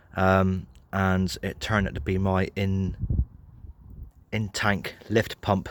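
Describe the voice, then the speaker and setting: Very slow and broken by long, frequent pauses, a man with a southern English accent speaks in a very deep, low, flat monotone over a very clean recording with a silent background. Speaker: car mechanic vlogger. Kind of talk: tutorial. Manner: hesitant, many fillers.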